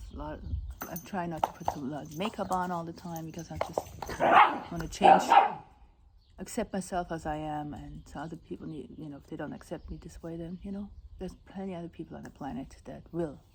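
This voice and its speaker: A woman with a non-native accent speaks at a fairly low pitch with ordinary pitch variation and big swings in loudness, amid noticeable background noise. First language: not English. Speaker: vlogger. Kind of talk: casual vlog talk. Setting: outdoors at house sit. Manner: halting, with restarts.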